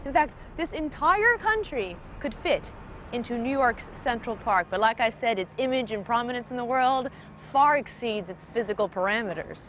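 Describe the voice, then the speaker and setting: Very wide pitch swings against noticeable background noise. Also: woman. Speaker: travel show host. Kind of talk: travel show host narration and interview.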